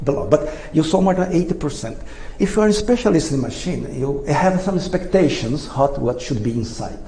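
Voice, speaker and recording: With a non-native accent, a man speaks in a fairly high pitch and lively intonation, with audible room echo and noticeable background noise. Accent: foreign. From Brazil. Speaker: inventor. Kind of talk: presentation. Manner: halting.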